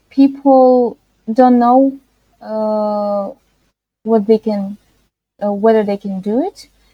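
A woman with a Russian accent has a dark, mellow tone and a fairly high pitch. Her intonation is fairly even, and the sound is dry and close with no echo. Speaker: freelance web and graphic designer. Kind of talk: interview. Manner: halting, frequent hesitations.

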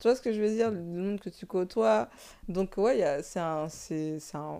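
A woman speaks at a fairly slow pace with long, frequent pauses. Her tone is dark and mellow, and her intonation is lively. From Paris suburbs. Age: 20s. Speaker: content creator and fashion designer. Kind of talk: casual interview. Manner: hesitant, many fillers.

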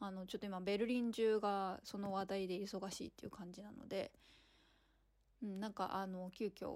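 In a very clean recording with a silent background, a woman at medium pitch speaks at a moderate pace with monotone, flat intonation. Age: 30s. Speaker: podcast host, artist and performer. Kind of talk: casual monologue while walking. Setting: outdoors walking in a city square. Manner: hesitant with many fillers.

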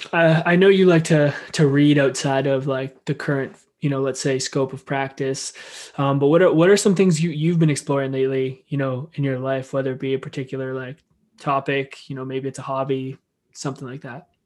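A man's ordinary speaking voice, fairly high in pitch, with fairly even intonation at a moderate pace. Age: 20s. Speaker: podcast host. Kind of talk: casual interview.

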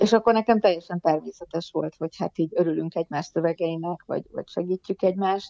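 Very fast speech from a woman, fairly low in pitch and fairly even in intonation. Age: 50s. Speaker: poet and writer, teacher. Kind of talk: casual interview chat.

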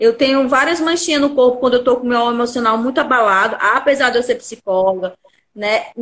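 A woman with a high voice talks fairly quickly, her pitch variation ordinary. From Fortaleza, Brazil. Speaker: psychologist working in sales. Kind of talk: viewer call-in testimony. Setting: online live stream. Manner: talkative.

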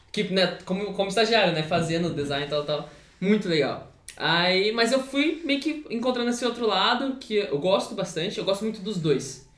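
Amid noticeable background noise and audible room echo, a man with a high pitch and very wide pitch swings talks at a moderate pace. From São Paulo state, Brazil. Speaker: custom sneaker and clothing artist. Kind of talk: casual chat.

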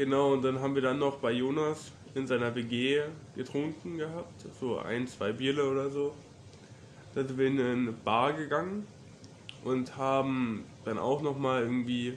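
Fairly even intonation at a fairly slow pace, with long, frequent pauses and audible room echo. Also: man, medium pitch for a man. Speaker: university student. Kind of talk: casual chat.

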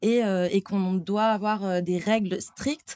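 A woman speaks at a medium pitch with fairly even intonation. The sound is dry and close, with no echo. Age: 20s. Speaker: athlete living with diabetes. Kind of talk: casual interview. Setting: near restaurant kitchens. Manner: hesitant, many fillers.

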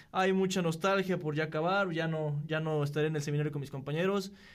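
A man speaks at a fairly quick pace with a fairly high pitch. His intonation is fairly even, and audible room echo surrounds his voice. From Querétaro, Mexico. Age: 20s. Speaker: seminarian. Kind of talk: casual chat.

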